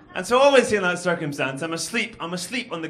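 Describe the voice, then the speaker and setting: With a Glaswegian accent, a man speaks over noticeable background noise. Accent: posh Glaswegian. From Scotland, Glasgow. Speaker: comedian. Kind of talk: stand-up. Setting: stage with audience.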